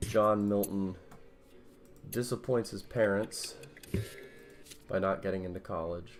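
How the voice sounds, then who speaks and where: Soft-spoken, fairly low male speech at a fairly slow pace, fairly even in intonation, broken by long, frequent pauses, with music in the background. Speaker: streamer. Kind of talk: casual chat. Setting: at home.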